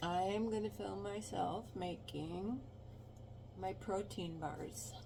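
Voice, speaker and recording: A woman speaks very slowly at a fairly low pitch. Audible room echo surrounds her voice. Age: 60s. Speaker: home cooking vlogger. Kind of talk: casual cooking tutorial. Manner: halting, many fillers.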